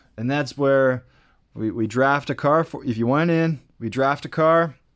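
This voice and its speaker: Medium-pitched male voice at a moderate pace, with ordinary pitch variation, on a very clean recording with a silent background. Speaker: toy car racing YouTuber. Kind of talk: casual video outro. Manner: rambling with fillers and repeats.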